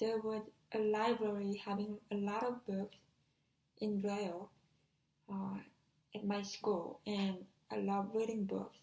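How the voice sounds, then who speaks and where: A woman in a Korean accent speaks at a medium pitch and a fairly slow pace, her intonation monotone and flat, with long, frequent pauses. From South Korea. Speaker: deafblind exchange student. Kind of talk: personal talk. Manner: halting, with some self-corrections.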